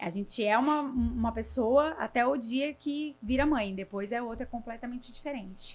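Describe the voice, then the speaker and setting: A woman with a high voice barely pauses, keeping a moderate speed while her pitch varies in an ordinary way. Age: 30s. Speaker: nutritionist. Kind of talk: casual interview.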